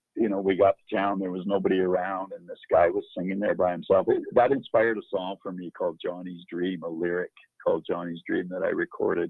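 A man with a western Canadian accent talks at a fairly quick pace, his loudness swinging widely. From northern Alberta, Canada. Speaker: country musician. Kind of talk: interview.

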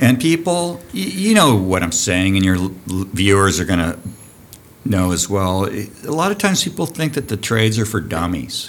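Noticeable background noise surrounds a man with a Californian accent. His fairly low voice carries lively intonation. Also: moderate pace. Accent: Californian American. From US West Coast (Santa Barbara, California). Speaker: diving school program director. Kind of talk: casual chat. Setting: on location at a college diving building.

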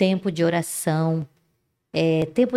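On a very clean recording with a silent background, a woman speaks at a fairly slow pace in a dark, mellow tone. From Resende, interior of Rio de Janeiro state, Brazil. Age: 50s. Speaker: women's mentor. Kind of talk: casual chat.

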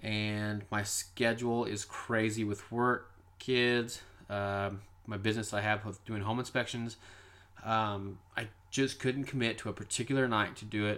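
Fairly slow speech in an American accent comes with monotone, flat intonation. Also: man, fairly low pitch for a man. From Kansas. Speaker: paranormal podcast host. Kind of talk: casual monologue.

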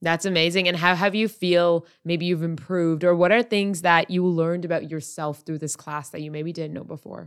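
A woman speaks in an ordinary speaking voice at a fairly quick pace, with fairly even intonation but big swings in loudness. The recording is very clean, with a silent background. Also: fairly low pitch for a woman. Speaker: podcast host; project manager. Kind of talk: casual interview.

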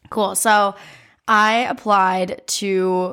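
A woman speaks with an American accent. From US Midwest, Ohio. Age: young. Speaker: college student. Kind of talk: casual chat.

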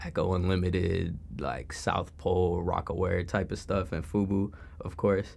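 In an American accent, a man with a very deep, low pitch speaks at a moderate pace, somewhat breathy and with fairly even intonation. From Chicago suburbs, US Midwest. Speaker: college student. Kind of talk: casual chat.

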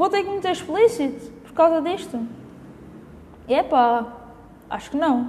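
Against noticeable background noise, a woman with a European Portuguese accent speaks at a fairly slow pace with lively intonation. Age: 20s. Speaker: podcast host. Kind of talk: casual solo podcast monologue. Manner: hesitant, many fillers.

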